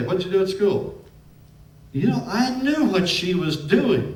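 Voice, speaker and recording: With a US Midwestern accent, a man talks in a high pitch with very wide swings, over noticeable background noise and audible room echo. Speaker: preacher. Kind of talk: sermon. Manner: harsh.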